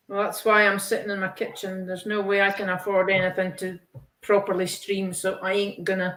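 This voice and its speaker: With a Scottish accent, a woman speaks in a medium pitch at a fairly quick pace. Her intonation is monotone and flat. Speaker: colouring hobbyist participant. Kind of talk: casual chat. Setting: video call from her kitchen.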